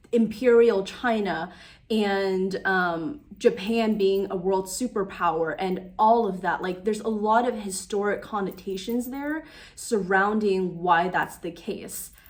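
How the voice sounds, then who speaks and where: A woman with a normal speaking voice talks at a fairly slow pace and medium pitch, with ordinary pitch variation. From United States (Taiwanese-American, born in Taiwan). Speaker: YouTuber / lifestyle vlogger. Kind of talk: casual vlog monologue. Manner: conversational with many fillers.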